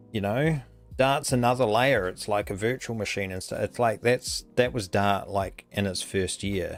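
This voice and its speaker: A man's fairly low voice with a New Zealand accent, ordinary pitch variation and a moderate pace. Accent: Kiwi. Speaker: coding live streamer. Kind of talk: casual live stream chat. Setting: live stream. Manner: rambling with many fillers.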